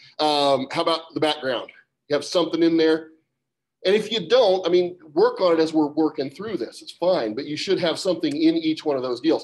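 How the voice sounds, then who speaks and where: A man with an ordinary speaking voice, fairly high in pitch, at a fairly quick pace with ordinary pitch variation. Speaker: science teacher. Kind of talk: classroom lecture. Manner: casual.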